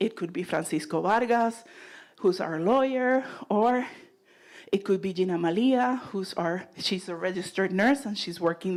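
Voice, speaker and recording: Medium-pitched speech from a woman in a Puerto Rican accent, with ordinary pitch variation at a moderate pace. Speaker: nonprofit leader. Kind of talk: presentation.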